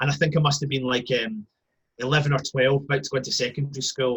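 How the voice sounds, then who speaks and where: A man talks very fast in a Scottish accent. His voice is fairly high in pitch, with a bright, sharp tone. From Scotland. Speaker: football fan. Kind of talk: casual chat. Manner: animated.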